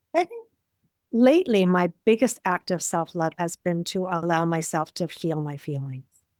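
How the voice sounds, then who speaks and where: A woman with a normal speaking voice talks at a moderate pace and fairly low pitch with ordinary pitch variation, in a dry, close sound with no echo. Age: 60s. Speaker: life coach. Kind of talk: casual chat.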